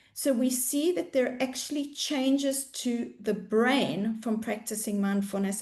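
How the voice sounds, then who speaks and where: Speaking at a fairly slow pace, a woman with a South African accent uses a high pitch. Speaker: mindfulness coach. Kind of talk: webinar presentation.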